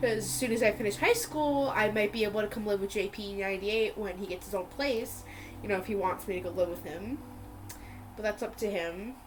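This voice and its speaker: A woman at a fairly quick pace with ordinary pitch variation, music playing in the background. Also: medium pitch for a woman. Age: young. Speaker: podcast guest. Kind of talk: casual chat. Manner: halting, filler words.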